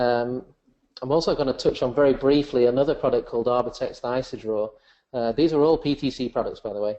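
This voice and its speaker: With an English accent, a man speaks at a moderate pace in a medium pitch with fairly even intonation. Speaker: software presenter. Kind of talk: webinar software demonstration.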